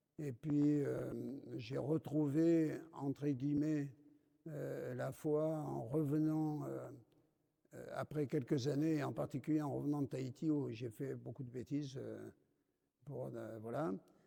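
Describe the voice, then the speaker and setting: A male speaker going very slowly, stopping often for long pauses. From France, Dordogne. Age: 70s. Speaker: deacon. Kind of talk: testimony. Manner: halting, many hesitations.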